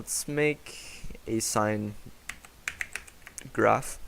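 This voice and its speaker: A man speaking over noticeable background noise. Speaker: software developer presenting own app. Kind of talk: software demo tutorial. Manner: casual with filler words.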